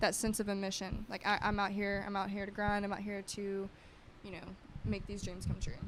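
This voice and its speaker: Fairly quick speech from a woman, medium in pitch. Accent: American. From US. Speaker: yoga entrepreneur. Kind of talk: podcast interview. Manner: animated.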